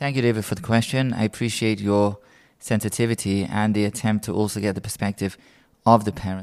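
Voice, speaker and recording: With a British accent, a man speaks very fast at a fairly low pitch and with fairly even intonation. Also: very clean recording, silent background. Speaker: rabbi. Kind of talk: role-play explanation in interview.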